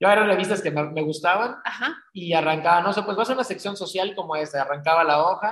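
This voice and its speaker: With hardly any pauses, a man talks at a very fast pace in a high voice with ordinary pitch variation. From Mexico, Cancún. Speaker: magazine publisher and event organizer. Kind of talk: interview conversation.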